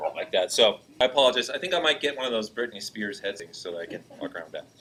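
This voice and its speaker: A man speaks at a medium pitch. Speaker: computer class teacher. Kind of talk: classroom tutorial. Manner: loud, projecting.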